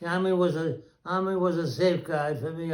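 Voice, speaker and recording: The speaker is a man with a high pitch. He moves at a fairly quick pace. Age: 90s. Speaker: grandfather interviewed by grandchild. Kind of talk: family interview, reminiscing. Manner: halting.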